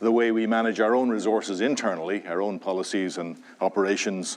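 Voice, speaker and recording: A man with an Irish accent talks at a medium pitch and a moderate pace. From Ireland, Dublin. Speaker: university president. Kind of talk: welcome speech. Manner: halting.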